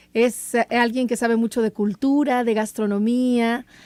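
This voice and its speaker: The sound is dry and close with no echo as a woman with a high pitch speaks at a moderate pace. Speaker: radio host. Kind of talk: radio talk show.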